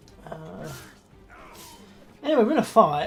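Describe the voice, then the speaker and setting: Background music plays while the words come at a medium tempo. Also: woman. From Scotland. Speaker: gaming YouTuber. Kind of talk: let's play commentary. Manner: animated.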